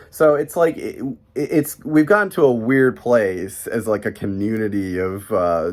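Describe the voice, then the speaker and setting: Speaking with an American accent, a man uses a medium pitch and lively intonation. His pace is fairly slow. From US Midwest, Chicago. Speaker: vlogger living abroad. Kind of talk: casual vlog monologue. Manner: hesitant, many fillers.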